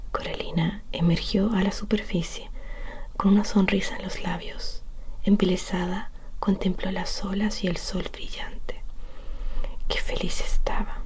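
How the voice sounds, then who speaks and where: The soft-spoken voice moves at a fairly slow pace with long, frequent pauses. Noticeable background noise runs underneath. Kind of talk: bedtime story reading.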